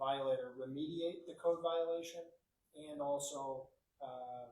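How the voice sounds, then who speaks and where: A man with a fairly high pitch at a moderate pace, with audible room echo. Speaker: city attorney. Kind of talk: council meeting report. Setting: city council meeting room. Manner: soft-spoken; hesitant, many fillers.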